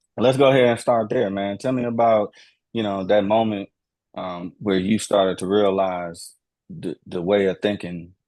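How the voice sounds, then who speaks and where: Against a quiet background, a man with a plain, everyday voice and an American accent talks at a moderate pace, fairly low in pitch with ordinary pitch variation. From Houston, Texas. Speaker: podcast host. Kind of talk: casual chat.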